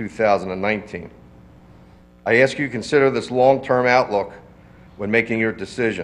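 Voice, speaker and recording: This is a normal speaking voice with an American accent. The pace is fairly quick and the pitch varies in an ordinary way. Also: man. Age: 60s. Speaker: nursery owner addressing a township board. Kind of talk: public comment at a municipal meeting. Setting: township board meeting room.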